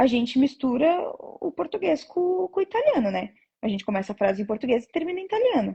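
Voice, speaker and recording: Her high voice races at a very fast pace, the woman's pitch swinging very widely. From Brazil. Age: 20s. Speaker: nurse. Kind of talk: interview.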